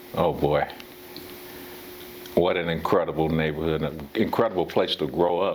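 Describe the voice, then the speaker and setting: A man speaks at a very deep, low pitch and a moderate pace, his intonation fairly even. He leaves long, frequent pauses over noticeable background noise. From US West, Pasadena, California. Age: 60s. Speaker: former baseball player. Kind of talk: interview. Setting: at his home. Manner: halting, with many fillers.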